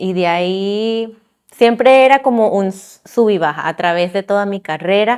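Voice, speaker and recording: A woman talks at a fairly slow pace, keeping a medium pitch that varies in an ordinary way. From Venezuela (La Guaira) then Miami from age 9. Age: 30s. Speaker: civil engineer. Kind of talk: testimony. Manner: halting.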